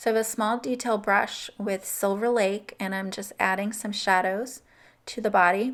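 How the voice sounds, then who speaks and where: Monotone, flat delivery at a moderate pace, in a very clean recording with a silent background. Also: woman, fairly high pitch for a woman. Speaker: card-making crafter. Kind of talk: tutorial. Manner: casual, conversational.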